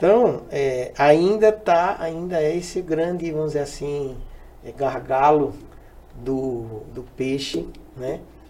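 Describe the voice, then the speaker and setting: The speech moves at a very slow pace with big swings in loudness. Audible room echo surrounds it. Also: man, fairly high pitch for a man, ordinary pitch variation. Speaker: fisheries engineer, extension agent. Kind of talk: casual chat. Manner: halting.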